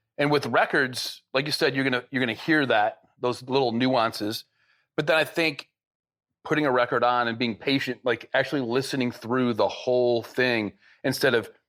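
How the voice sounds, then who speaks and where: The recording is very clean with a silent background, and the loudness stays very even. A man with an American accent and a plain, everyday voice speaks at a medium pitch and moderate pace with fairly even intonation. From Michigan. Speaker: podcast host. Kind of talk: casual interview.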